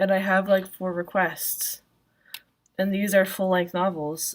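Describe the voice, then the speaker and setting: This woman speaks softly at a moderate pace. Her pitch sits fairly low. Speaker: vlogger and self-published author. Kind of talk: casual solo vlog. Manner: soft-spoken, speaks quietly; many filler words, ums and likes.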